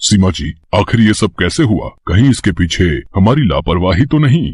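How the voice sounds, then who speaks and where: Swinging very widely in pitch, a cartoonish character voice goes along at a moderate pace. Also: man, fairly low pitch for a man. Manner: earnest, respectful.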